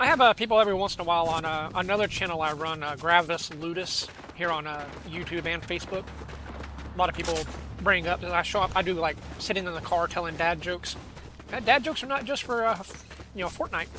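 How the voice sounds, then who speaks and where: A man's high voice at a very fast pace, with noticeable background noise. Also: ordinary pitch variation. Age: 40s. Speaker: gaming streamer. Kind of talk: casual chat. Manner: halting.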